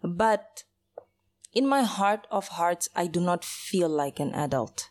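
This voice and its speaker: A very slow pace with lively intonation. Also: woman. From Mozambique, Maputo; raised in South Africa from childhood. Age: 30s. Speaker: podcast host. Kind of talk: solo monologue. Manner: rambling, self-interrupting.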